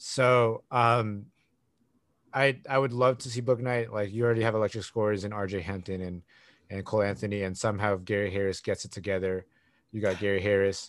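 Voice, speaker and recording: A plain, everyday voice moves at a fairly quick pace with fairly even intonation over a quiet background. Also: man, fairly low pitch for a man. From US West Coast. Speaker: podcast host and sports fan. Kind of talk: casual chat.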